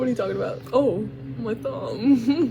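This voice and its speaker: There is music in the background. A woman speaks over it at a moderate pace. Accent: American. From United States. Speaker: vlogger. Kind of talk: casual vlog monologue. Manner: animated.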